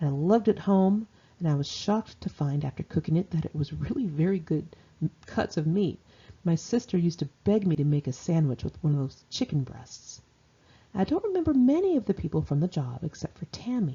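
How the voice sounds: A woman speaks with a dark, mellow tone and a slightly husky edge. Her pitch is fairly low, with big swings. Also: fairly quick pace.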